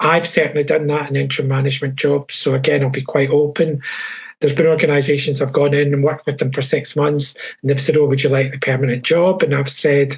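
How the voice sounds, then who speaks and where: A man speaks very fast with a Scottish accent in monotone, flat intonation. His voice is somewhat breathy and fairly high-pitched. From Scotland. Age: 60s. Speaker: HR professional and coach. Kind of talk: webinar panel talk.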